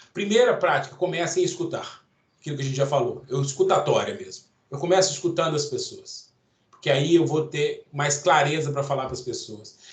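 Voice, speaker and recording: Loud and fairly quick, this man talks at a high pitch with ordinary pitch variation. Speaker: course instructor. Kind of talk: lecture. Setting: online event. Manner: intense.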